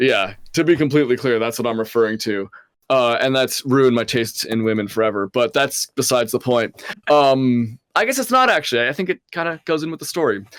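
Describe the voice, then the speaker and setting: With an unremarkable speaking voice, a man talks at a fairly quick pace and medium pitch, showing ordinary pitch variation, in a dry, close sound with no echo. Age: 20s. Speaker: podcast co-host. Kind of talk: casual chat.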